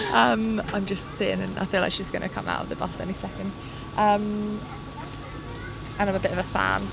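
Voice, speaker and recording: A woman speaks at a fairly quick pace, with long, frequent pauses. Noticeable background noise and audible room echo fill the recording. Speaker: cycling pundit. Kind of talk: casual chat. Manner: loud.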